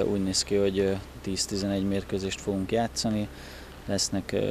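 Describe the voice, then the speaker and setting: A man at a fairly low pitch and fairly slow pace, dry sound with no echo, light background noise. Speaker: basketball coach. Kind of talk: interview statements. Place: street. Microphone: handheld.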